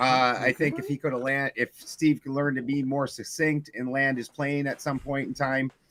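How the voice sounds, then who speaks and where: A man talks in a monotone, flat way with hardly any pauses. The sound is dry and close with no echo, yet noticeable background noise is present. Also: moderate pace. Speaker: debate show host. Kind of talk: casual chat. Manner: hesitant, many fillers.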